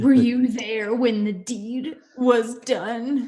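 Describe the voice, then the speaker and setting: Using a put-on character voice pitched high, a woman speaks at a very slow pace. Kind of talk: archaic, theatrical. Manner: grand, menacing.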